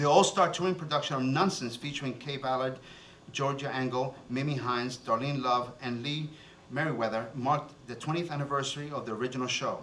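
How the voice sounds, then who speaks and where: A man at a fairly quick pace, with audible room echo and noticeable background noise. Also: medium pitch for a man. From born in Cuba, raised in New Jersey. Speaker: TV show host and city commissioner. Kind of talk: reading a guest bio aloud; stage emcee remarks with jokes. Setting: stage with audience at festival ceremony. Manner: animated, joking.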